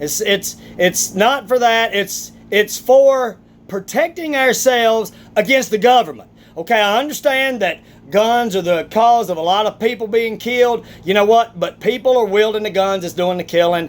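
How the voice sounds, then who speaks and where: An animated man with high pitch, moderate pace and ordinary pitch variation. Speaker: vlogger, athlete. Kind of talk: opinion rant vlog. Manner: animated, emphatic.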